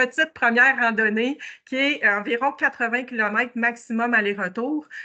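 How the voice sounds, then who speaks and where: The woman speaks at a fairly high pitch. Her pitch variation is ordinary. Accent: Quebec. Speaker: motorcycle tour organizer. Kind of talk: presentation. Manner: hesitant, many fillers.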